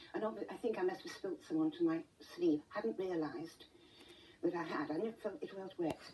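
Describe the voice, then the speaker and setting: With a British accent and very wide pitch swings, the speech runs at a fairly quick pace against noticeable background noise. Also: woman, medium pitch for a woman. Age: 70s. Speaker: interview guest with rare pain condition. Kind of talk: TV interview. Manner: halting.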